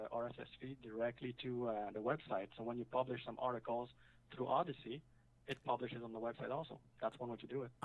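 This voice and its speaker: Talking at a fairly quick pace, a man speaks with a French accent. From French-speaking. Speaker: website builder, caller. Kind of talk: casual chat. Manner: halting.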